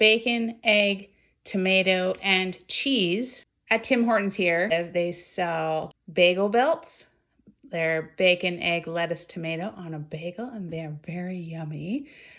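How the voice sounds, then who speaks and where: In a Canadian accent, a woman speaks at a very slow pace with a medium pitch, ordinary pitch variation and big swings in loudness, on a very clean recording with a silent background. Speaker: budget cooking vlogger. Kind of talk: casual cooking vlog.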